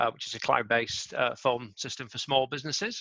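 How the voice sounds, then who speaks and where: A man with a bright, sharp tone talks at a fairly quick pace and fairly high pitch with ordinary pitch variation, the sound dry and close with no echo. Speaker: startup co-founder. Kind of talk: panel introduction. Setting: video call.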